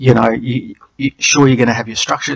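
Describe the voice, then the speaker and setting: A man with an Australian accent speaks in a monotone, flat intonation. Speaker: channel co-host. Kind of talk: screen-share tutorial. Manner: hesitant, with many fillers.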